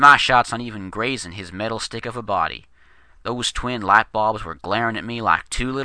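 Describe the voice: With fairly even intonation, the text is given as plain reading aloud.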